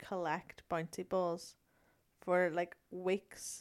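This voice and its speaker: In a very clean recording with a silent background, a woman speaks at a medium pitch and a very slow pace. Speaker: host's girlfriend, question reader. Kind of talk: casual chat. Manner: nervous, giggly.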